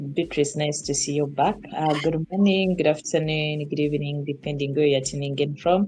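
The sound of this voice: At a moderate pace with few pauses, a woman speaks in a low pitch with a dark, mellow tone and ordinary pitch variation.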